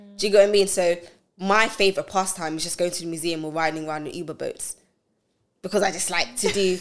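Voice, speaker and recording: A woman with a British accent talks at a very fast pace, her loudness swinging widely. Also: medium pitch for a woman. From UK, of Nigerian heritage. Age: 20s. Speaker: cloud engineering manager. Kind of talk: casual chat.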